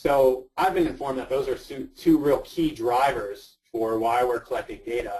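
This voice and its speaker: This man has an ordinary speaking voice, with medium pitch, ordinary pitch variation, and a moderate pace. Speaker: GIS researcher and search and rescue volunteer. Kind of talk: webinar presentation. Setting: online webinar.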